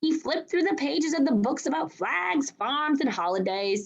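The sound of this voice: Using vocal fry, a woman with a high pitch speaks at a fairly slow pace with lively intonation.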